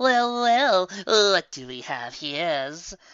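Using a put-on character voice, a man speaks at a high pitch with very wide pitch swings. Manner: false, cooing, sneering.

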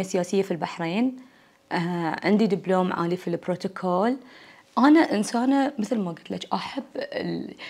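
A woman's dark, mellow tone with a Bahraini accent. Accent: Bahraini Gulf Arabic. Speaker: university lecturer and academic; university lecturer. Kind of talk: casual interview. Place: home room. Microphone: lapel.

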